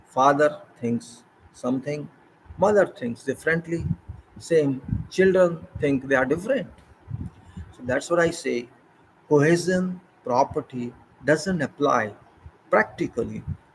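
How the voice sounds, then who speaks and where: With an Indian accent, a man speaks fairly slowly at a fairly high pitch, leaving long, frequent pauses. His voice is somewhat breathy, with ordinary pitch variation and big swings in loudness. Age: 60s. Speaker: retired civil engineer. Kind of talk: informal talk. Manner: halting.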